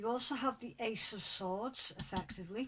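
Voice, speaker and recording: Speaking at a fairly slow pace, a woman has a bright, sharp tone and ordinary pitch variation. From Scotland (Fife). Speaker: tarot reader. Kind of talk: tarot reading to camera. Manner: casual, hesitant.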